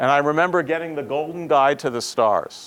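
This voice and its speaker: At a moderate tempo comes an unremarkable speaking voice. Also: man. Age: 60s. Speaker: professor. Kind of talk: lecture.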